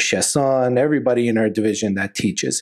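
With a western Canadian accent, a man speaks at a medium pitch with ordinary pitch variation on a very clean recording with a silent background. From Calgary, Alberta, Canada. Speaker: oral surgeon and professor. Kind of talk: interview.

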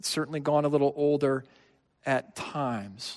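A man with a normal speaking voice talks at a moderate pace and a fairly high pitch, in a very clean recording with a silent background and a dry, close sound with no echo. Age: 30s. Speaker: pastor. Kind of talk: sermon.

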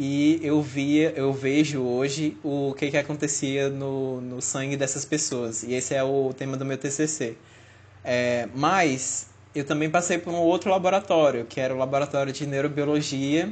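A man's fairly high-pitched, fairly slow delivery with fairly even intonation, an ordinary speaking voice. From Fortaleza, Brazil. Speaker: podcast co-host, biomedical student. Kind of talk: casual chat.

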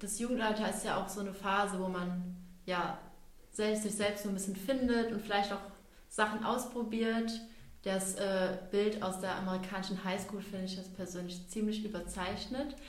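In a room with audible echo, a woman with a medium pitch speaks at a moderate pace in a flat, monotone way. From Lorsch, southern Hesse, Germany. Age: 20s. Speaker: youth council chair and student. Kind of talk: casual interview.

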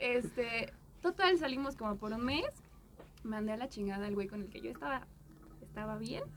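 Long pauses come often in the talking. The pace is otherwise moderate, over noticeable background noise. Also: woman. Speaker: podcast guest. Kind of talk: casual chat.

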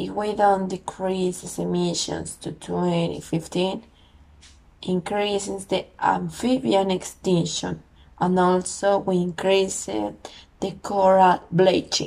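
Someone speaks at a very slow pace with a Spanish accent. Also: woman. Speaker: podcast host. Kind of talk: solo podcast monologue. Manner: halting.

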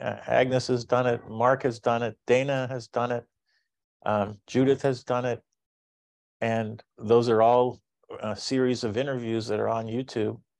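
At a fairly slow pace, the speaker talks with monotone, flat intonation against a quiet background. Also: man, medium pitch for a man. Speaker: event host. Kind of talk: event moderation. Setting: video call.

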